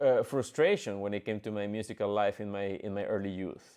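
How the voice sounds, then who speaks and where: A man with a Spanish accent speaks with ordinary pitch variation in a very clean recording with a silent background. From Mexico, Monterrey. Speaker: orchestra conductor and pianist. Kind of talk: podcast monologue. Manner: halting, many fillers.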